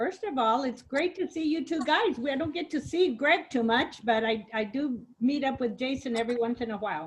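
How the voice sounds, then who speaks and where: Speaking at a fairly quick pace with hardly any pauses, a woman uses lively intonation and a high pitch. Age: 70s. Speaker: family elder interviewed for oral history. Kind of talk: spoken eulogy; oral history interview. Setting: video call.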